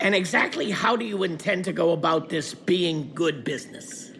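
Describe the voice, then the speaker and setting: A put-on character voice, raspy and at a middle pitch, moves at a moderate pace. Background noise is clearly heard. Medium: video game. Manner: sarcastic, doubtful.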